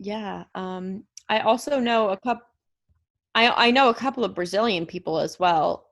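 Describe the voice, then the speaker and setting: A woman with an American accent talks at a moderate pace, her pitch fairly high with ordinary variation. She has a plain, everyday voice. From United States. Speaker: podcast co-host. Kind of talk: casual chat.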